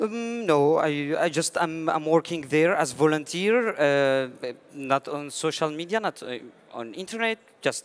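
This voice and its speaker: With a Syrian Kurdish accent, a man speaks at a fairly slow pace with a fairly high pitch and lively intonation. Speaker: IT engineering student, refugee. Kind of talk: panel discussion. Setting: conference stage. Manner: halting.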